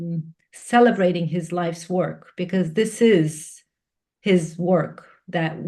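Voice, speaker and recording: A woman's fairly low, somewhat breathy voice in a Turkish accent, at a fairly slow pace. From Turkey. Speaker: executive coach and facilitator. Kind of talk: podcast interview. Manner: halting, many fillers and restarts.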